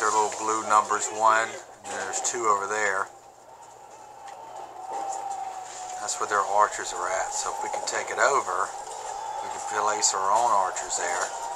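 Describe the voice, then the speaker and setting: Loud background noise surrounds a man who takes long, frequent pauses. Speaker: parent gamer. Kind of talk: gameplay commentary. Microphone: phone near.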